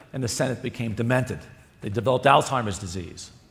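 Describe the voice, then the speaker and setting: There is audible room echo. A man talks, his pitch varying in an ordinary way. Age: 60s. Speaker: cardiologist. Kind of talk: conference lecture.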